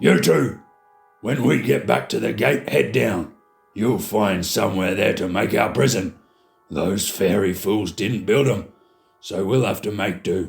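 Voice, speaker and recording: Using a put-on character voice, a man growls in a raspy, fairly low pitch at a fairly slow pace with music in the background. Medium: read story. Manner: snarling, mocking.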